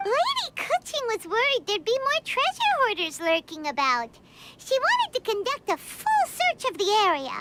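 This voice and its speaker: A squeaky, extremely high-pitched put-on character voice at a moderate pace. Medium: video game. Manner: chatty, excitable.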